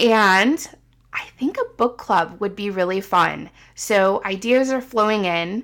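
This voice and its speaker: On a very clean recording with a silent background, a woman with an American accent speaks at a very slow pace. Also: medium pitch for a woman, ordinary pitch variation. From US Midwest. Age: 40s. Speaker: podcast host. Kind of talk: casual monologue.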